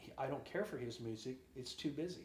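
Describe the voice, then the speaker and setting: A man at medium pitch speaking at a fairly quick pace, with audible room echo. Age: 60s. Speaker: drummer and singer. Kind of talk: interview.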